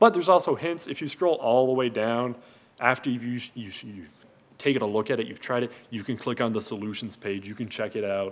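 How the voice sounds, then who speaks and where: Mumbling at a fairly quick pace, a man shows ordinary pitch variation and big swings in loudness. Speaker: engineering researcher and course creator. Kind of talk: conference talk. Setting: stage with audience. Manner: halting. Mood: casual, lightly humorous. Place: hall. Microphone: podium.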